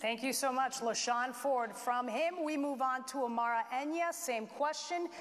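A woman speaks in a high pitch at a moderate pace. Her pitch variation is ordinary. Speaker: TV news anchor moderating forum. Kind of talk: debate moderation. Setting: school auditorium with audience. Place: hall.

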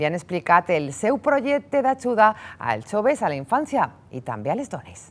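This woman's voice sits fairly high and swings very widely in pitch, with vocal fry. She talks at a moderate pace. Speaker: TV news presenter. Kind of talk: news presenting. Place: studio. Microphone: lapel.

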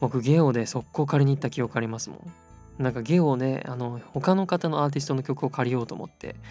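Over music in the background, a man with a medium pitch and ordinary pitch variation speaks at a fairly quick pace with hardly any pauses. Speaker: voice actor. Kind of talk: sleep-aid casual talk. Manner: soft-spoken, relaxed.

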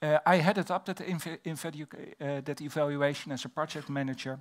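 A man with a Dutch accent speaks at a fairly slow pace, with fairly high pitch and ordinary pitch variation. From Netherlands. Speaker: fire safety researcher and fire officer. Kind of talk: conference presentation. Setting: stage with audience. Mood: calm, respectful. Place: hall. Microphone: headset.

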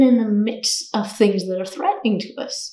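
A woman speaks with ordinary pitch variation in a room with audible echo. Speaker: yoga teacher. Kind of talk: short talk to camera. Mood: calm, warm. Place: home room.

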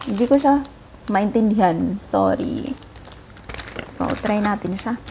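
Lively intonation marks this woman's speech over light background noise. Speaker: food vlogger. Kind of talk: casual vlog chat. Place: home room. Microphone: phone near.

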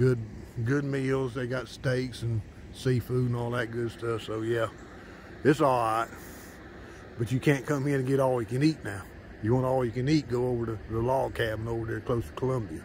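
A man talks at a moderate pace with fairly even intonation, leaving long, frequent pauses. The sound is dry with no echo, over light background noise. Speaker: local diner reviewing a restaurant. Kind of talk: casual vlog chat. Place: open country. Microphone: phone near.

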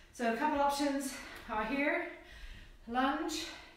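A woman speaks with ordinary pitch variation, with audible room echo and light background noise. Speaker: fitness instructor. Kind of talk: live workout instruction. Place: home room. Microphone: camera far.

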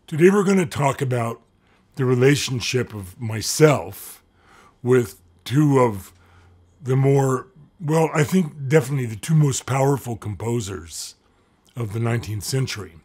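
Against a quiet background, a man with a somewhat breathy voice uses lively intonation and takes long, frequent pauses. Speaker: lecturer. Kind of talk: lecture. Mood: warm, lightly humorous. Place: home room.

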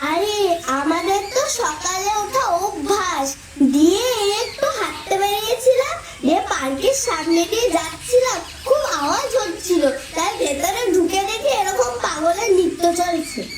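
A woman uses a put-on character voice with an extremely high pitch, talking at a fairly slow pace. Background noise is clearly heard. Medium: voice reel. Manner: blunt, mocking.

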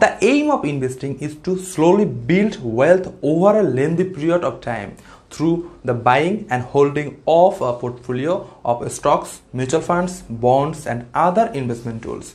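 At a fairly slow speed, a man talks with a non-native accent. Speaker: finance channel creator. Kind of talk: scripted tutorial. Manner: formal.

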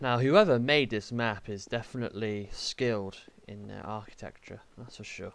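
On a very clean recording with a silent background, a man speaks at a moderate pace and medium pitch, his intonation fairly even but his loudness swinging widely. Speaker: gaming youtuber. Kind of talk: let's play commentary.

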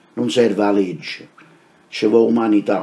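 A man talks with a Neapolitan accent. His pace is moderate. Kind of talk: poetry reading.

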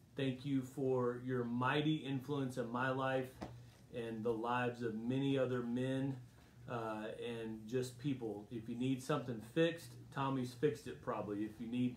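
A man speaks at a moderate pace with fairly even intonation. Audible room echo and light background noise surround him. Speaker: pastor leading Bible study. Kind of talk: casual address to an online congregation. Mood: warm, celebratory. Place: home room. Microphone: phone near.

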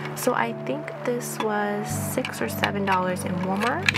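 The woman talks while clear music can be heard in the background. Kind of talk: casual haul vlog chat. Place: home room.

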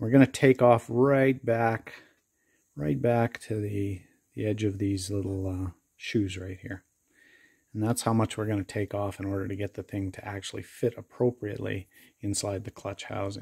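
A man's fairly low, somewhat breathy voice with a dark, mellow tone, fairly even intonation and a moderate pace over a quiet background. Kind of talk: tutorial. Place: workshop. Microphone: phone near.

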